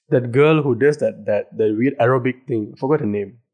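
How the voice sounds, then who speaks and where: A man's normal speaking voice at medium pitch and a fairly quick pace. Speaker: podcast co-host. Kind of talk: casual chat.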